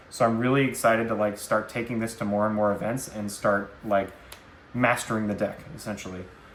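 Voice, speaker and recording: A man talks at a fairly quick pace and fairly low pitch. The room echo is audible. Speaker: card game content creator. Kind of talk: deck profile tutorial. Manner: fast; animated.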